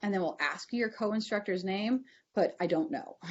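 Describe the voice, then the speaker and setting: Here is a woman speaking. Her pitch sits at a medium level. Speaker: university advising administrator. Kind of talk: online information session Q&A. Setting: video call. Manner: fast.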